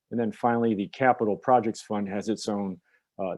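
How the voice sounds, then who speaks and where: Using a normal speaking voice, a man with an American accent talks at a fairly quick pace, pitched fairly low. His intonation stays fairly even, and the sound is dry and close with no echo. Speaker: public finance attorney. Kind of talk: presentation briefing.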